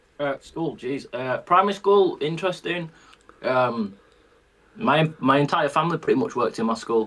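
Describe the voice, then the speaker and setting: This man speaks at a moderate pace with a Yorkshire accent, his fairly high voice carrying lively intonation. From northern England, Bradford. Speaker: country singer. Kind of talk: casual chat.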